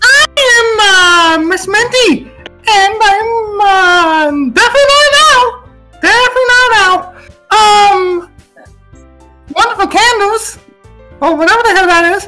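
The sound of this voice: Putting on a character voice, a man speaks at an extremely high pitch and a very slow pace while faint music plays in the background.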